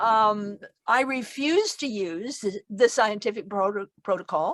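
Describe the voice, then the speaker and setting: The delivery is very slow, with lively intonation. The sound is dry and close, with no echo. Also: woman. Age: 80s+. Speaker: near-death researcher and author. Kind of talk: talk to an online audience. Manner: halting, with many fillers and restarts.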